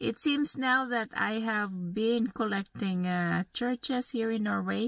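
A soft... no—A woman speaks at a very slow pace, the sound dry with no echo and the background quiet. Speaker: travel vlogger. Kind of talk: casual vlog chat. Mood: relaxed, cheerful. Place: car. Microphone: phone near.

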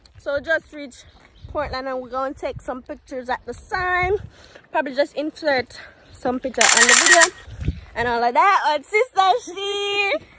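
A woman at a moderate pace with long, frequent pauses, dry sound with no echo, and loud background noise. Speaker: vlogger. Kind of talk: casual vlog chat. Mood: cheerful, laughing. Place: street. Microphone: phone near.

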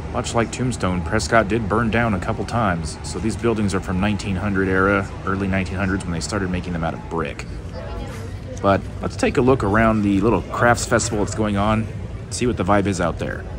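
Recorded dry with no echo but with noticeable background noise, a man talks at a fairly quick pace with a fairly low pitch and fairly even intonation. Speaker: travel vlogger. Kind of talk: casual tour narration. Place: street. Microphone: phone near.

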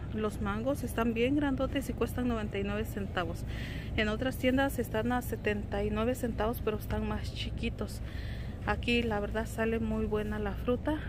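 The speech moves at a fairly slow pace. The sound is dry with no echo, though there is noticeable background noise. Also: woman. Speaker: homemaker vlogger. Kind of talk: casual vlog chat. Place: shop. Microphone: phone near.

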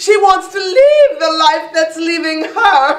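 Speaking very slowly, a woman uses an extremely high pitch and lively intonation, with audible room echo. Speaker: actor. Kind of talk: theatrical monologue. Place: stage. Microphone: camera far.

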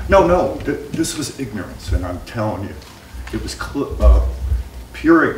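Moderate pace with long, frequent pauses, audible room echo, and light background noise. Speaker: workshop participant. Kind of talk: group discussion. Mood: emphatic. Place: hall. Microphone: camera far.

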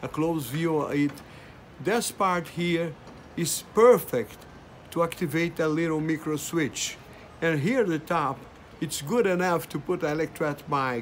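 Over light background noise, a man with a Brazilian accent talks at a fairly slow pace in a fairly high pitch with ordinary pitch variation. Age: 70s. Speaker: amateur radio operator. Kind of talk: casual talk to camera. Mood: proud, enthusiastic.

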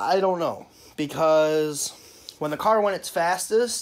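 A man speaks slowly in a fairly high voice, his intonation lively.

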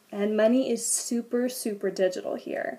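A woman in an American accent, fairly high-pitched, at a moderate pace. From United States. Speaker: vlogger and au pair; vlogger. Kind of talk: casual vlog talk to camera. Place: home room. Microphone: webcam.

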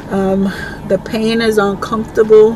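A woman at a very slow pace in a monotone, flat intonation, the sound dry with no echo and background noise noticeable. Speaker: vlogger. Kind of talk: casual vlog chat. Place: car. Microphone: phone near.

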